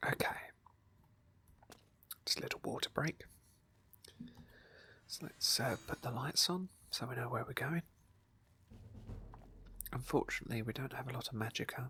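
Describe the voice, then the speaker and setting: A woman whispers with long, frequent pauses. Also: moderate pace. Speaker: ASMR gamer / roleplay streamer. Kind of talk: gameplay commentary, casual talk. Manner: soft, whispery.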